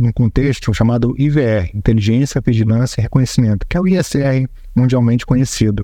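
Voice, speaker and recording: Here a man with a medium pitch and ordinary pitch variation has a dark, mellow tone. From Brazil, Belém do Pará. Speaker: air force fighter pilot and squadron commander. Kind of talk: interview. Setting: air base.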